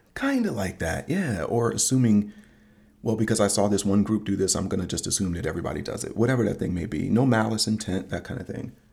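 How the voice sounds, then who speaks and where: A man talks very fast in a fairly low, somewhat breathy voice. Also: ordinary pitch variation. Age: 40s. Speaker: podcast host, father. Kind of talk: casual chat.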